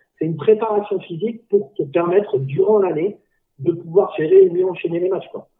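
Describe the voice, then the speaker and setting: The man's voice is pitched high, with ordinary pitch variation. He keeps a moderate pace. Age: 40s. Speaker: dodgeball club president. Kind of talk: casual chat.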